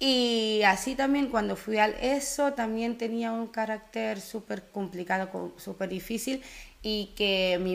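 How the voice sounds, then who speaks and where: An unremarkable speaking voice from a woman, medium in pitch, at a fairly slow pace. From Curaçao, raised in the Netherlands. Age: 20s. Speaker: animator, podcast guest. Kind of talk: casual interview chat.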